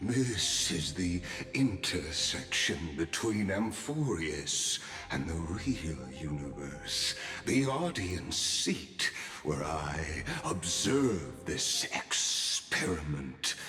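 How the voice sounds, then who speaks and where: A man uses a put-on character voice with a very deep, low pitch. He talks at a very slow pace against clear background noise. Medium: virtual streamer. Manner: calm, florid, softly amused.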